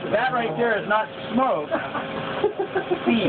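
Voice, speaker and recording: A man speaks over loud background noise. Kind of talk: demonstration explanation. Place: workshop. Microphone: phone near.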